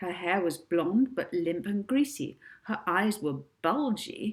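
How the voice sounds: The clip features a natural reading voice. The intonation is lively.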